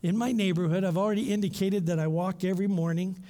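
Speaking very fast with a Canadian accent, a man with a high pitch and a dark, mellow tone shows ordinary pitch variation, and room echo is audible. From Canada, London Ontario. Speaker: missionary and former professor. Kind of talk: sermon; prayer.

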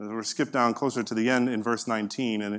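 This man has an unremarkable speaking voice at a medium pitch. He talks at a fairly quick pace. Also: quiet background. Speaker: pastor. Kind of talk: sermon. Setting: church.

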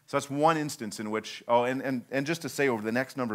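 On a very clean recording with a silent background, a man with an unremarkable speaking voice talks at a fairly quick pace with ordinary pitch variation. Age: 30s. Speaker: visiting preacher, church planting leader. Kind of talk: sermon.

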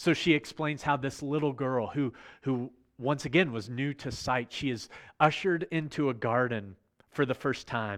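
A man speaks in an ordinary speaking voice with an American accent, at a moderate pace and medium pitch with ordinary pitch variation. The background is quiet. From US, Virginia. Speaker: pastor. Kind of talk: sermon. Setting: online service, recorded remotely.

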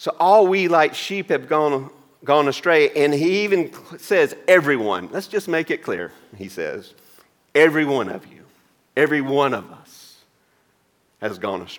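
With a Southern US accent, a man talks fairly slowly at fairly high pitch, with very wide pitch swings, big swings in loudness, and long, frequent pauses. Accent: Southern US (Georgia). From US South, Georgia. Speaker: pastor. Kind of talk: sermon. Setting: church.

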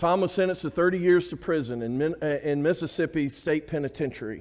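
With an Alabama accent, a man talks at a fairly quick pace with ordinary pitch variation over a quiet background. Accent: US Southern (Alabama). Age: 50s. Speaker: pastor. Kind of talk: sermon. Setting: church.

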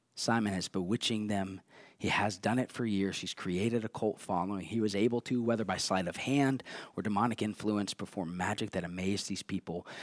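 Recorded very cleanly over a silent background, with a dry, close sound and no echo, a man with a normal speaking voice talks at a fairly quick pace in a fairly low pitch. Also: fairly even intonation. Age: 30s. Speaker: pastor. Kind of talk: sermon. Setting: church.

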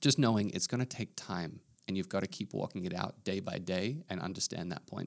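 A man with an Australian accent speaks at a fairly quick pace in a very deep, low voice, his pitch varying in an ordinary way. The recording is very clean, with a silent background. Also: dry, close sound with no echo. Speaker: pastor. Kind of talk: casual podcast discussion.

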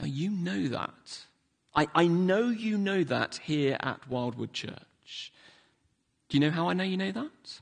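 With a London accent, a man speaks at a fairly slow pace. His high voice carries lively intonation. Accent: southern English (London). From London, England. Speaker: pastor. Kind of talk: sermon. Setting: church.

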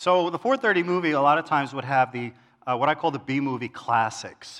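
A man's bright, sharp voice at medium pitch, with lively intonation, over a quiet background. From New York City, Queens. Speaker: church elder, lay preacher. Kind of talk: sermon. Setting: church service with congregation.

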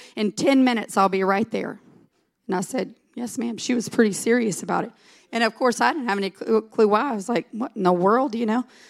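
An animated woman with a Southern US accent, fairly high in pitch, with ordinary pitch variation at a fairly quick pace. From US South. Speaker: pastor's wife and preacher. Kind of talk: sermon. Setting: church.

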